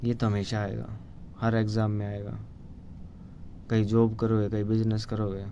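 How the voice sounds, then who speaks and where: In a room with audible echo, a man speaks with a dark, mellow tone at a fairly low pitch, his intonation monotone and flat. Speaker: vlogger. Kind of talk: casual monologue. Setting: solo video to camera. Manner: halting.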